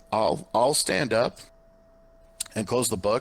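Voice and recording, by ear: A man does a put-on character voice that is hoarse. His pitch is medium and his pace fairly slow.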